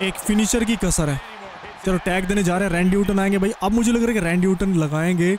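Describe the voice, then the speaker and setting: An animated, high-pitched male voice at a moderate pace, with noticeable background noise. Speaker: gaming commentator. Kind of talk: live game commentary.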